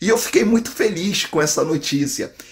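A man speaks against a quiet background. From Brazil. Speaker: online drywall course instructor. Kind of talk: direct-to-camera sales pitch, promo. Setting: video to camera, online. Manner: warm, persuasive, friendly. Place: home room. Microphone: phone near.

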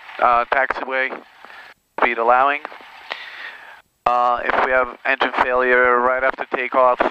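A man speaks in a monotone, flat intonation, the sound dry with no echo but carrying noticeable background noise. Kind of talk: pre-takeoff briefing. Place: plane. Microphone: headset.

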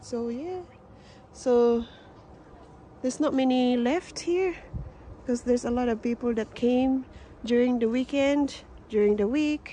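A woman's high-pitched voice, dry with no echo, over light background noise. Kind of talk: casual vlog chat. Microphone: phone near.

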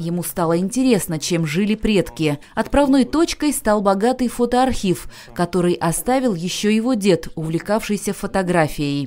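Pitch swings very widely as the speech moves along at a moderate speed. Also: woman, medium pitch for a woman. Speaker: news reporter. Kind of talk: TV news voice-over.

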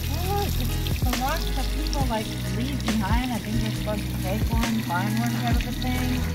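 Fairly slow speech over loud background music, the sound dry with no echo. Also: woman. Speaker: vlogger. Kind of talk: casual vlog chat. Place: street. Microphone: phone near.

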